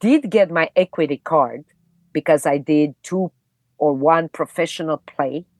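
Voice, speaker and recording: A woman with a non-native accent speaks at a fairly slow pace and a fairly low pitch, in a dry, close sound with no echo against a quiet background. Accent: foreign accent, never reduced. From Romania, Bucharest. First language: Romanian. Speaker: actress. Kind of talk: podcast interview, personal storytelling.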